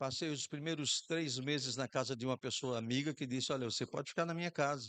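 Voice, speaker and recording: Speaking very fast with a northeastern Brazilian accent, a man keeps a medium pitch and fairly even intonation, his voice dry and close with no echo over a quiet background. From Brazil, Rio Grande do Norte (Macau). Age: 60s. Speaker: pastor. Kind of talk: sermon.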